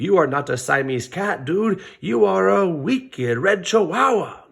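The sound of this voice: A man does a put-on character voice with a Spanish accent, pitched fairly high. He moves at a moderate pace with very wide pitch swings.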